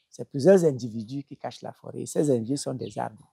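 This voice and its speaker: A man's dark, mellow voice with a Cameroonian accent, in a dry, close sound with no echo. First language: Bassa (speaking French). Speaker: traditional healer. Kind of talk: interview. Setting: at his home. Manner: halting, with repetitions.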